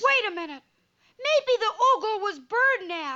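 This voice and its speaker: Squeaky and extremely high in pitch, this cartoonish character voice moves at a moderate pace. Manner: eager, earnest.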